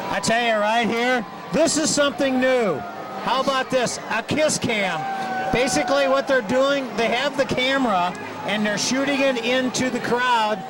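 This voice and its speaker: Against noticeable background noise, a man with an extremely high pitch speaks at a moderate pace with very even loudness and ordinary pitch variation. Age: 60s. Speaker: parade announcer. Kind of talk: live commentary. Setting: outdoors.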